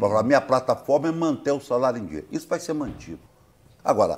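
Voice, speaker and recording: Fairly quick, lively male speech at a fairly high pitch with vocal fry, on a very clean recording with a silent background. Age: 60s. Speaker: politician, gubernatorial candidate. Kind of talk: interview answer. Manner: blunt, informal.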